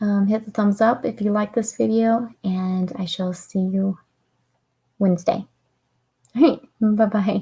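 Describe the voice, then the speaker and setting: At a fairly slow pace and medium pitch, a woman speaks somewhat breathily with fairly even intonation and long, frequent pauses. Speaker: author reading her own book. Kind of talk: casual chat wrapping up a reading livestream. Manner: tongue-tied at times.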